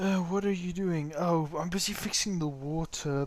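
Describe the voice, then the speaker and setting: Noticeable background noise sits behind a man with a high pitch. He keeps a moderate pace and fairly even intonation. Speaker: gaming streamer. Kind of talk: live game commentary. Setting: livestream. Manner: quiet. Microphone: mic too quiet.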